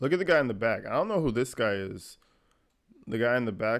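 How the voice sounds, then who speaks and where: A man with an unremarkable speaking voice talks at medium pitch and a fairly quick pace. His intonation is lively, and the recording is very clean with a silent background. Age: 20s. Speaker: YouTube commentator. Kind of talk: reaction commentary. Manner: casual.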